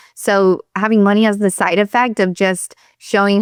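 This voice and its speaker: A woman at a medium pitch and fairly slow pace with a Southern US accent, on a very clean recording with a silent background and a dry, close sound with no echo. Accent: Southern US accent picked up. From Pennsylvania, US. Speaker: chiropractor and business coach. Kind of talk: interview.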